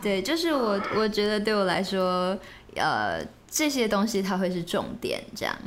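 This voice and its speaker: At a fairly slow pace, the voice holds a very even loudness with ordinary pitch variation, and audible room echo surrounds it. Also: woman, medium pitch for a woman. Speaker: bride. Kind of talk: casual chat.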